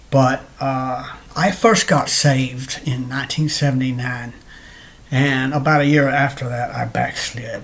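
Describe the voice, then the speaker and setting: Here a man talks at a fairly slow pace with fairly even intonation and a medium pitch. Noticeable background noise can be heard. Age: 60s. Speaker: person sharing religious testimony. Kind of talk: testimony. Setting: home, recorded at computer in bedroom. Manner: halting, many fillers and repeats.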